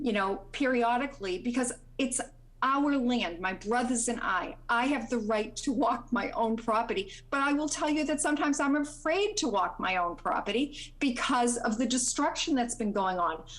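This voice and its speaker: A woman's high voice with lively intonation, very even loudness and a moderate pace, plus audible room echo. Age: 60s. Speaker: landowner speaking at public hearing. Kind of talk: public comment at planning board hearing. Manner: halting, many fillers.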